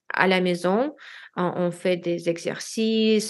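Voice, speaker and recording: A woman with a non-native accent talks at a fairly low pitch. Her pace is very slow and her intonation fairly even. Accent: foreign accent in French. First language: Russian (speaking French). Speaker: language learner, expatriate. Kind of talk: interview. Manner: halting.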